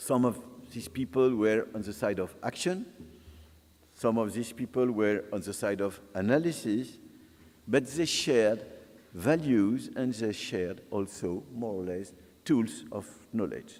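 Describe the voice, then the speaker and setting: A man with a French accent at a medium pitch, lively in intonation, fairly slow, with long, frequent pauses. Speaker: sociologist. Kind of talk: lecture. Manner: halting.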